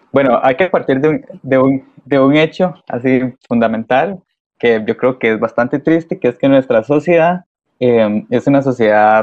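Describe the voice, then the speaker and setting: A man speaks with a Costa Rican accent at a fairly slow pace. His pitch variation is ordinary. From Costa Rica, San Ramón de Alajuela. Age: 20s. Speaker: microbiology student, church volunteer. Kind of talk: interview conversation.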